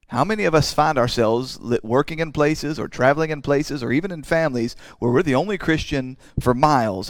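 Talking very fast, a man uses a fairly high pitch with ordinary pitch variation. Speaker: pastor. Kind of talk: sermon. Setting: church. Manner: halting, with repeated words.

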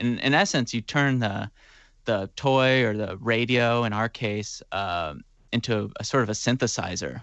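A man speaks at a fairly slow pace with a medium pitch. His is a plain, everyday voice with ordinary pitch variation. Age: 20s. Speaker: musician. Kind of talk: casual interview chat.

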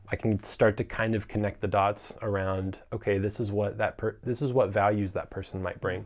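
A man with an American accent and fairly low pitch speaks at a moderate pace with hardly any pauses. His intonation is monotone and flat, and the recording is very clean with a silent background. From US South, North Carolina. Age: 20s. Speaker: filmmaker and entrepreneur. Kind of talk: casual interview.

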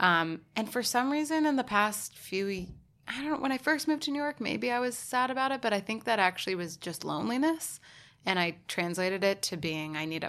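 A woman's fairly high voice with very wide pitch swings at a fairly quick pace, on a very clean recording with a silent background. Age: 20s. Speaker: podcast guest. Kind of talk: casual chat.

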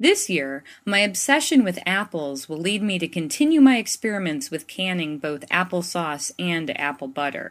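A woman's plain, everyday voice at a fairly low pitch, with lively intonation, a moderate pace and hardly any pauses. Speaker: faith columnist. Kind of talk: reading aloud.

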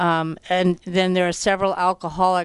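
A woman speaks with a fairly low pitch. Her pace is fairly slow against a quiet background. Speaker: radio host. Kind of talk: radio show introduction.

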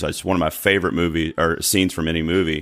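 This man has a very deep, low voice with a North Carolina accent. His intonation stays fairly even, and the recording is very clean with a silent background. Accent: North Carolina Southern drawl. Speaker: podcast host guest. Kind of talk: casual chat.

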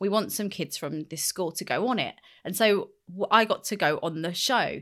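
With a London accent, a woman speaks at a medium pitch with ordinary pitch variation on a very clean recording with a silent background. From West London, England. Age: 30s. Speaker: skincare brand founder and psychotherapist. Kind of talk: interview conversation. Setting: studio.

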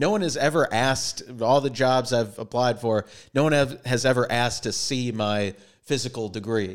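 A man with an American accent has a plain, everyday voice, speaking at a medium pitch and a moderate pace with ordinary pitch variation. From Minnesota. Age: 30s. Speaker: actor and comedian. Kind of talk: casual chat.

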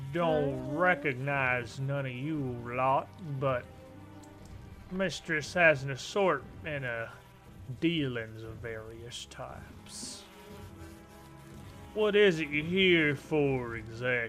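A put-on character voice in a drawling Southern US accent at a very slow pace, with long, frequent pauses and clear music in the background. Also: man, medium pitch for a man. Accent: southern drawl. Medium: actual play. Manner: folksy, drawling, falsely friendly.

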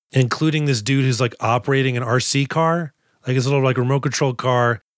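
A man speaks in an unremarkable speaking voice with an American accent. His pitch is medium with ordinary variation, and the recording is very clean with a silent background. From Boston. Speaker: podcast host and comedian. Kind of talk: casual chat.

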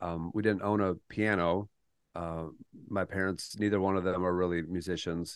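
A man with an American accent speaks at a moderate pace. His very deep, low voice has monotone, flat intonation. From Minnesota, Twin Cities suburb. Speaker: touring fiddle player. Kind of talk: interview. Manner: halting, many repeated words and fillers.

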